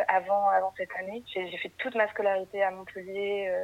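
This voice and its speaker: At a fairly quick speed, her medium-pitched voice carries this woman's words. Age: 20s. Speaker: guest on confinement podcast. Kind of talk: casual chat.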